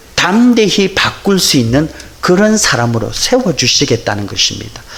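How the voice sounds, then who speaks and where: A man speaks with a Busan accent and very wide pitch swings. Noticeable background noise and audible room echo surround him. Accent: Busan dialect intonation. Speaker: pastor. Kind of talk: sermon.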